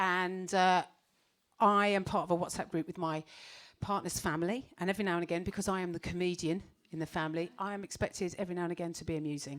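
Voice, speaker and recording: On a very clean recording with a silent background, a woman with a British accent speaks very fast in a fairly low pitch. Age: 40s. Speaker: stand-up comedian. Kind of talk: stand-up. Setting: stage with audience. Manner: animated.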